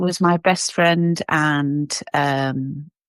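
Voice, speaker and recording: The sound is dry and close, with no echo. A woman speaks with an English accent. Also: very clean recording, silent background. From England, Cheshire. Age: 50s. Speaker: podcast guest. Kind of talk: casual interview.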